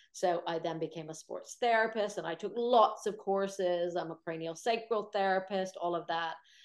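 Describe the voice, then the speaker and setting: In a normal speaking voice with an American accent, a woman talks at a medium pitch and moderate pace with hardly any pauses. Her intonation is fairly even, and the background is quiet. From United States. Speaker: Pilates teacher and sports therapist. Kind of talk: webinar Q&A.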